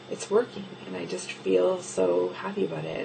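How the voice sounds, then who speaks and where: A soft-spoken woman amid audible room echo and noticeable background noise. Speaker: video blogger documenting weight loss surgery. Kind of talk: casual video diary. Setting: home office at night. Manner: quiet, talking softly late at night; hesitant, many ums.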